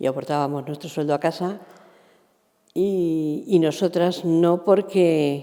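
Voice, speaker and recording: A woman's very deep, low voice with a dark, mellow tone and ordinary pitch variation. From Spain, Valencia. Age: 60s. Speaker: former shoe factory worker. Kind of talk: interview. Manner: halting.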